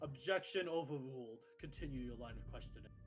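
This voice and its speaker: Over clear background noise, a man puts on a booming character voice and talks at a fairly quick pace. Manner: authoritative.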